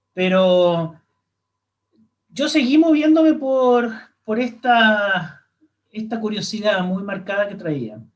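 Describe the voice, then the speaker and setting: A man talks very slowly in a high pitch with lively intonation, leaving long, frequent pauses. The room echo is audible. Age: 60s. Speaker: astronomer. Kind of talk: interview. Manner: halting.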